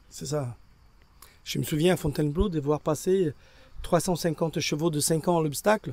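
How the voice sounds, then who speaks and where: On a very clean recording with a silent background, a man at a fairly high pitch talks at a moderate pace with ordinary pitch variation and long, frequent pauses. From Brazil. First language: Portuguese (speaking French). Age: 60s. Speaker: equine veterinarian. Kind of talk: interview. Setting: at an endurance race. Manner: halting.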